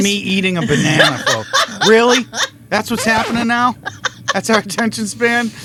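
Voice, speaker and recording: Upbeat, raised and projected male voice, high-pitched with ordinary pitch variation, at a moderate pace over noticeable background noise. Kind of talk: casual podcast banter. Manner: upbeat, joking.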